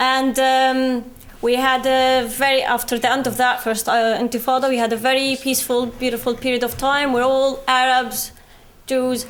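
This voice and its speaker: A high-pitched woman with a British accent, with audible room echo. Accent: Palestinian British. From West Bank, Palestine. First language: Arabic. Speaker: activist speaker. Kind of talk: public talk. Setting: university lecture hall with audience.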